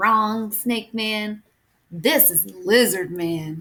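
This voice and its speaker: Putting on a croaky character voice, a woman speaks at a very slow pace with a medium pitch. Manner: playful, teasing.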